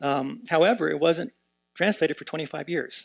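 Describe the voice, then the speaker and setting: A man with an American accent and vocal fry, moderate pace, ordinary pitch variation and a dry, close sound with no echo. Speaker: professor of Tibetan Buddhism, translator. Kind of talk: conference panel talk. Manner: many filler words (uh, um).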